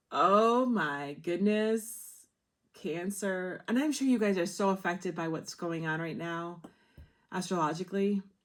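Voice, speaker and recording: A woman with a plain, everyday voice speaks fairly slowly at a medium pitch with ordinary pitch variation, captured in a very clean recording with a silent background. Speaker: tarot reader. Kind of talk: tarot reading monologue.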